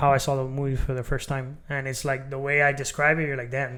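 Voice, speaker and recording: Pitched fairly high, a man speaks at a fairly quick pace with a bright, sharp tone. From Miami, Florida (Cuban-American). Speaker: podcast host and author. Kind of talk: casual interview chat.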